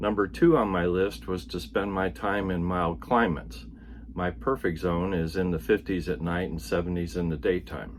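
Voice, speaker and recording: Very deep and low with vocal fry, this man's voice still makes very wide pitch swings. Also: moderate pace. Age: 70s. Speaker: retired Navy veteran vlogger. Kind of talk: personal vlog monologue.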